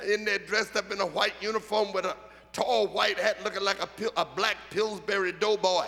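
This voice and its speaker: A high-pitched man with an American accent speaks in a raised, projected voice at a fairly quick pace. His intonation is monotone and flat, and there is noticeable background noise. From Philadelphia, US. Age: 70s. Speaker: bishop. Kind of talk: sermon.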